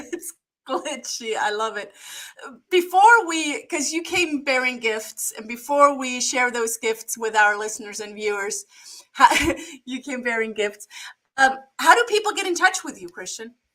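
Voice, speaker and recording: A woman with a high pitch and a bright, sharp tone raises and projects her voice. Her pitch swings very widely, and she leaves long, frequent pauses. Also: moderate pace. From Germany. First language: German. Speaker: podcast host. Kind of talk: interview.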